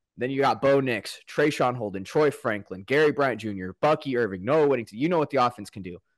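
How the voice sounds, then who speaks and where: Over a quiet background, a man with a West Coast accent talks at a fairly quick pace, medium in pitch with ordinary pitch variation. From US Pacific Northwest, Portland, Oregon. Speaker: sports podcaster and fan. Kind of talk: casual sports chat.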